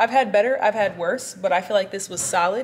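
The woman talks with ordinary pitch variation. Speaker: fitness vlogger. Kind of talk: casual vlog chat. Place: gym. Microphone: phone near.

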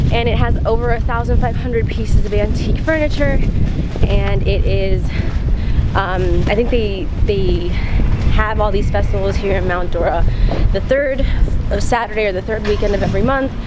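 Against loud background noise, a woman speaks at a moderate pace with long, frequent pauses. The sound is dry with no echo. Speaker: travel vlogger. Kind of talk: casual vlog chat. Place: street. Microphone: phone near.

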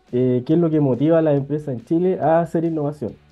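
Fairly quick, fairly even speech over faint background music. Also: man. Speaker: remote interview guest, professor. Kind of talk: interview answer. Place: office. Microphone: earbuds.

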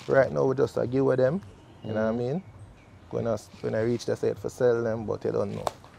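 A man talks at a very fast pace with long, frequent pauses, in a dry sound with no echo and light background noise. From Jamaica. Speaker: dancehall artist; interviewee. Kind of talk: casual interview. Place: street.

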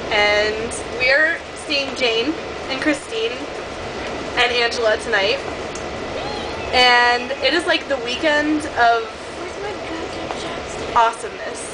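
Very slow speech full of long, frequent pauses, ordinary pitch variation and noticeable background noise. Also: woman. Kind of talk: casual vlog chat. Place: train. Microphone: phone near.

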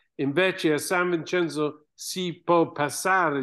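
A man with an English accent, very slow, against a quiet background. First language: English (speaking Italian). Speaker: archaeologist and author. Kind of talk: book presentation interview. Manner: halting, with hesitations. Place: home room. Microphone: webcam.

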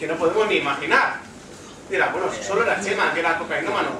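Very fast and high-pitched, a man talks over noticeable background noise. The room adds audible echo. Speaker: stand-up comedian. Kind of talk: stand-up comedy monologue.

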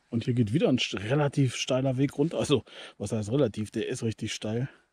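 In a dry sound with no echo, a man with a dark, mellow, somewhat breathy tone talks fairly quickly with ordinary pitch variation. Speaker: hiking vlogger. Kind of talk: casual vlog chat. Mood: cheerful, curious. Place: forest. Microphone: phone near.

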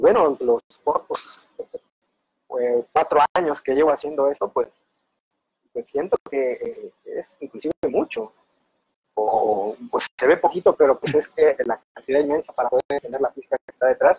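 A man speaks at a fairly slow pace with long, frequent pauses. The sound is dry with no echo, and the background is quiet. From coastal Mexico. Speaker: fluid simulation researcher; guest. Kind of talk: casual interview. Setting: video call. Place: home room. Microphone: video call.

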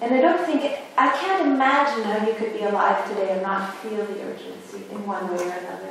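There is strong room echo around a woman's voice. Light background noise can be heard. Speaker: academic philosopher or artist on panel. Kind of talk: academic round-table discussion. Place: hall.

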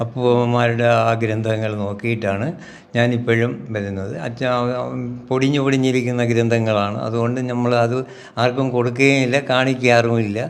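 A man talks in a flat, monotone voice at a medium pitch. Noticeable background noise and audible room echo surround him. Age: 70s. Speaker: ayurvedic physician. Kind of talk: interview.

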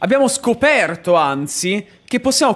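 A man speaks fairly slowly in an animated tone, his pitch swinging very widely. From Bologna, Emilia-Romagna, Italy. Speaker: gaming streamer. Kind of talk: live game streaming commentary. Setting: home streaming setup. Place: home room. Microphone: studio mic.

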